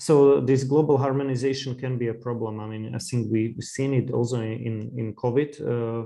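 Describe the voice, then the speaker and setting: A man with a Slovak accent talks at a moderate pace with hardly any pauses. His dark, mellow tone sits at medium pitch with fairly even intonation. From Slovakia. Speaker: podcast host. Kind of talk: interview conversation. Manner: halting, many fillers.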